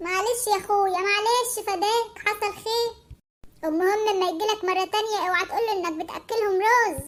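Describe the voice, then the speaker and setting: A woman puts on a cartoonish character voice at an extremely high pitch, keeping her intonation fairly even. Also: moderate pace. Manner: folksy, repeatedly says "my brother".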